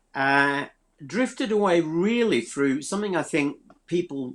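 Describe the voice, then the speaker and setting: In a Yorkshire accent, a man talks at a fairly slow pace with lively intonation. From South Yorkshire, England. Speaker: pastor and theology teacher. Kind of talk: testimony. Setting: live online stream.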